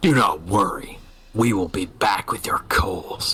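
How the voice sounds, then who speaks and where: This man puts on a growling character voice in a medium pitch. He speaks at a fairly slow pace. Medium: actual play. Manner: formal, commanding.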